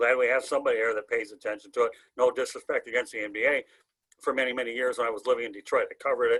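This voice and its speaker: Against a very clean recording with a silent background, a man talks at a very fast pace. He has an American accent. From Michigan, Oakland County. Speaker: sports talk show host. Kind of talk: casual sports talk. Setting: video show. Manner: loud, animated.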